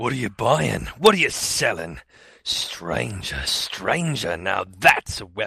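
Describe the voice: A man uses a raspy put-on character voice. He talks at a fairly slow pace.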